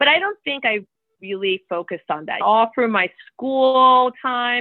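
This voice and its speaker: A woman talks at a moderate pace with ordinary pitch variation. Hers is an unremarkable speaking voice. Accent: American. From New York City (the Bronx). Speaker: corporate lawyer and novelist. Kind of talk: interview.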